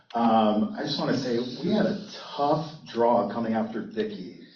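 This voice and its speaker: Audible room echo and noticeable background noise surround a man speaking at medium pitch with lively intonation. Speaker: university intellectual property attorney. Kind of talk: panel talk. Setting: conference stage with audience. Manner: loud.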